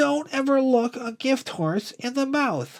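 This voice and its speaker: A man puts on a character voice, pitched extremely high and delivered fairly slowly. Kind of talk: comic storybook reading. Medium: read story.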